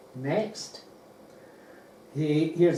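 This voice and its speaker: A man with a fairly high pitch and fairly even intonation is heard with audible room echo and noticeable background noise. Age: 80s+. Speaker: space enthusiast speaker. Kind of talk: slide presentation talk.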